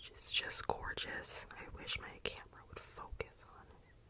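A soft-spoken woman whispering, with noticeable background noise. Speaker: content creator. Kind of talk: soft show-and-tell chat. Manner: soft close-mic ASMR whisper. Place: home room. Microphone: studio mic.

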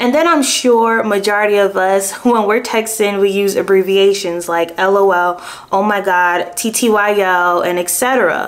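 With ordinary pitch variation, the words come at a very slow pace. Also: woman. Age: 20s. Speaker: true crime youtuber. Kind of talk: true crime storytelling. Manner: casual, conversational. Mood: animated, engaged. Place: home room.

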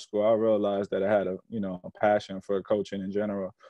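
A man speaks at a fairly quick pace in a flat, monotone delivery with a fairly low pitch, recorded dry with no echo against a quiet background. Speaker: basketball coach, guest. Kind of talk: interview answer. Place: home room. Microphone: video call.

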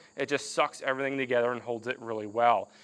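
The man talks at a fairly quick pace. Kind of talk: tutorial. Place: garage.

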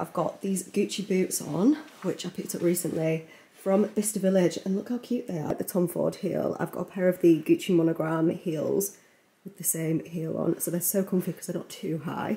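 A woman's fairly low voice carries ordinary pitch variation. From England. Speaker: beauty vlogger. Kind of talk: casual vlog. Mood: cheerful, chatty. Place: home room. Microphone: phone near.

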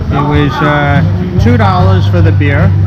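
A man talks at a fairly slow pace. Loud music plays in the background. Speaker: travel vlogger. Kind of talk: casual vlog chat. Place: bar. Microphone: phone near.

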